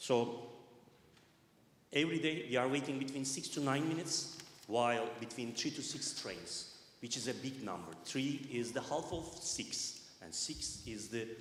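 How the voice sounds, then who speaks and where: At a moderate pace, a man speaks at medium pitch with ordinary pitch variation, and audible room echo surrounds his voice. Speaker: resident speaking at council meeting. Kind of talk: public comment read from notes. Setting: public meeting in church hall.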